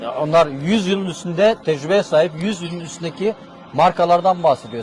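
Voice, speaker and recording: A man with a high voice talks at a moderate pace and ordinary pitch variation while noticeable background noise plays behind him. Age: 60s. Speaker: oil company representative. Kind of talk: casual interview.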